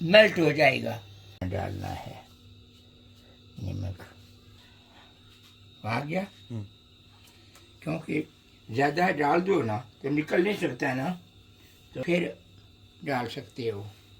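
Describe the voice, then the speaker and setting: Vocal fry with very wide pitch swings. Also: man, fairly high pitch for a man. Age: 80s+. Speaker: home cook. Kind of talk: casual cooking talk. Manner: humorous, chatty.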